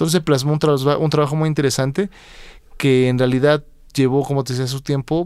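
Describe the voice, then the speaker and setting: Medium pitch from a man, captured in a very clean recording over a silent background. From Mexico. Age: 30s. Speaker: blues guitarist. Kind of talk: interview. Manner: hesitant, frequent fillers.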